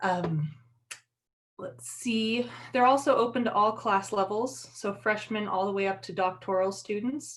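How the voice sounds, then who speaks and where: A woman's ordinary speaking voice, medium in pitch, at a fairly slow pace with lively intonation. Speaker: university career center staff. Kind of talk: online info session presentation. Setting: livestream.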